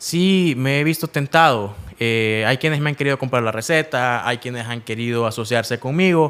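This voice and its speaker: Speaking at a moderate pace with hardly any pauses, a man holds a medium pitch. His pitch variation is ordinary. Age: 30s. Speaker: entrepreneur. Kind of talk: interview. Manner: halting, frequent fillers and repetitions.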